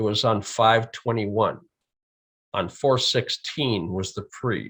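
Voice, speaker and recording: Using an American accent, a man speaks at a very slow pace. His tone is bright and sharp, with ordinary pitch variation. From USA. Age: 70s. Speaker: EEG specialist. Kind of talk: conference presentation.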